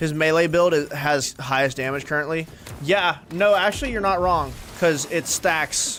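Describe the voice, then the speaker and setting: Speaking at a fairly slow pace with ordinary pitch variation, a man is heard over noticeable background noise. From US, Georgia (north of Atlanta). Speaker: gaming streamer. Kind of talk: casual live-stream chat while gaming. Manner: casual, with many fillers and restarts.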